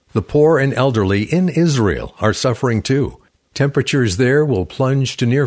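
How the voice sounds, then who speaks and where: A man's unremarkable speaking voice, moderate in pace, with lively intonation. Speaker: radio announcer. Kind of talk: scripted fundraising appeal narration. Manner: formal.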